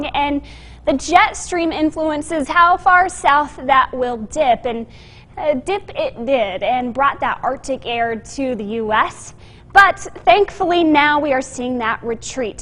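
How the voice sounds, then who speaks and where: A woman with a high pitch and lively intonation, over noticeable background noise. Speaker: TV meteorologist. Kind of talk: TV weather forecast.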